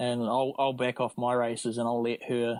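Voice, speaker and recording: In a very clean recording with a silent background, a man with a New Zealand accent speaks in a monotone, flat intonation. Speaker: amateur triathlete. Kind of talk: casual interview chat.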